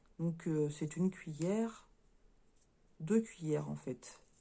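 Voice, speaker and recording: A woman speaks at a fairly slow pace with ordinary pitch variation. Her tone is dark and mellow. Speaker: crafts YouTuber. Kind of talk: unboxing review. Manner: halting, stumbling.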